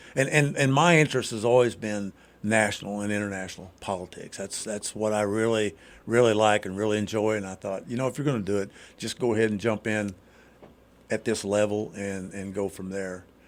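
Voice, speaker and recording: This is a man with a plain, everyday voice and an American accent. His pitch is fairly low, his intonation fairly even, and his pace fairly quick. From southern Indiana. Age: 60s. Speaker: congressional candidate. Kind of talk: radio interview. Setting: radio studio. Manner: casual, many fillers and repetitions.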